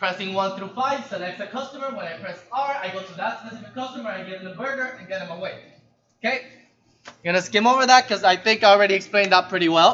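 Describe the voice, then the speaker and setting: At a very fast pace, a man talks in a raised, projected voice with a high pitch for a man, ordinary pitch variation and big swings in loudness. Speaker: programming instructor. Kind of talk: lecture. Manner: casual.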